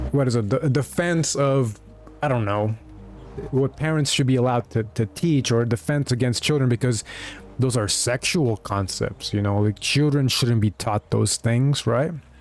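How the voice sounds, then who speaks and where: A man speaks with very even loudness. Music plays in the background. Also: medium pitch for a man, ordinary pitch variation, moderate pace. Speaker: video game streamer. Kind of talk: casual livestream commentary. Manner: halting, self-correcting.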